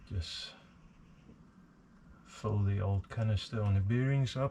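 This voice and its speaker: Amid noticeable background noise, a man with a South African accent speaks at a fairly slow pace and a fairly low pitch. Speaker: hobbyist machinist. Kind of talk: workshop tutorial. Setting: home workshop. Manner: hesitant, many fillers.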